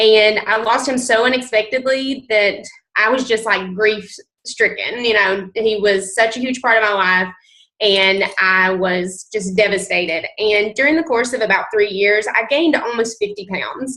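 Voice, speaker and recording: Speaking in a strong Southern US accent, a woman talks at a moderate pace in a fairly high voice with ordinary pitch variation. Her tone is bright and sharp. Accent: thick Southern US. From US South, mountain North Carolina. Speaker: nurse and fitness coach. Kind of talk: testimony. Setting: conference call.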